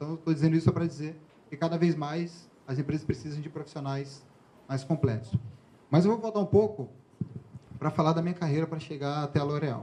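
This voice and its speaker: A man speaks very fast with a fairly high pitch and a dark, mellow tone. His pitch varies in an ordinary way, broken by long, frequent pauses. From Bahia, Brazil. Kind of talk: professional, interview.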